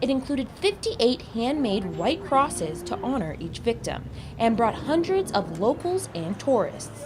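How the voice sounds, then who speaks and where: A woman's pitch swings very widely at a moderate pace, with noticeable background noise behind her. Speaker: news reporter. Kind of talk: TV news report.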